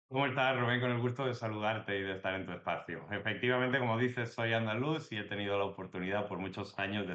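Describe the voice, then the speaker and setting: Very fast delivery with ordinary pitch variation. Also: man. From Andalusia, Jaén (Spain). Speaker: political analyst. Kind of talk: interview.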